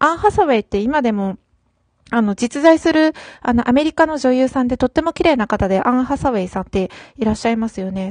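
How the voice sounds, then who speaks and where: Lively intonation from a woman with a fairly high voice, fairly quick pace, and a dry, close sound with no echo against a quiet background. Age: 30s. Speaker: solo podcaster. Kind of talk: casual solo talk. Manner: hesitant, frequent fillers.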